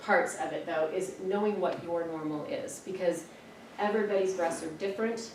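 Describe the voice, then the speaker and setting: The voice has lively intonation and a moderate pace, with audible room echo and noticeable background noise. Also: woman. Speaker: health nonprofit outreach presenter. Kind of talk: presentation to employees.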